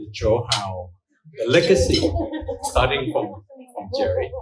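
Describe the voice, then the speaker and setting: Lively intonation in a man's somewhat breathy speech. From Thailand. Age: 70s. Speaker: economist. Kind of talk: congratulatory speech.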